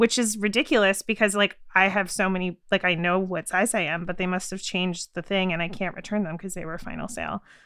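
Talking at a very fast pace with hardly any pauses, a woman with a medium pitch and a bright, sharp tone keeps a fairly even intonation on a very clean recording with a silent background. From Canada. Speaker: podcast producer. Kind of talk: casual chat.

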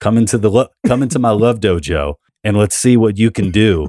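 A man's fairly low, dark and mellow voice in a New York accent, at a fairly quick pace with ordinary pitch variation and a dry, close sound with no echo. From New York City, Queens. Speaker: comedian and author. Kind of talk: casual interview chat.

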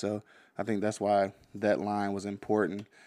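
The recording is very clean, with a silent background. A man with an American accent talks at a moderate pace in a fairly low pitch. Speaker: podcast host and producer. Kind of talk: casual podcast hosting. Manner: laid-back, filler-heavy, conversational.

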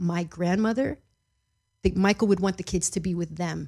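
A woman's somewhat breathy voice at medium pitch, with fairly even intonation. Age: 30s. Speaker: celebrity relative interviewed about family. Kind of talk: podcast interview.

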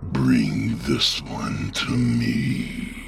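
A man growls in a put-on character voice with a very deep, low pitch. Clear background noise sits behind him. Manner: hissing, commanding.

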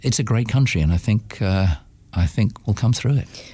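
A man's fairly low, somewhat breathy voice with lively intonation and a British accent, over a quiet background. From United Kingdom. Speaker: businessman.

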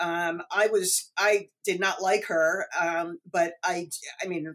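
With an American accent, a woman has an ordinary speaking voice, medium in pitch, with fairly even intonation. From New York City suburbs. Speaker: author. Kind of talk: interview.

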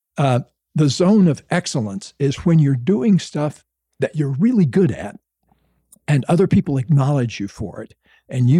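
In a dry, close recording with no echo, a man with an American accent speaks at a moderate pace in a fairly high pitch, his tone dark, mellow and somewhat breathy, his intonation lively. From US South, Florida. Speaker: author and psychologist. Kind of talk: casual interview.

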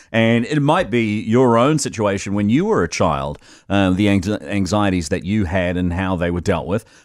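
A man with a New Zealand accent, fairly low in pitch, lively in intonation, at a moderate pace with hardly any pauses. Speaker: radio host. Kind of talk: talk radio, casual chat and phone-in. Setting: studio.

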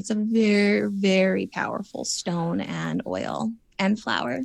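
A medium-pitched woman in a very clean recording with a silent background. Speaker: former reality TV contestant. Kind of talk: casual interview chat. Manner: chatty, filler-heavy.

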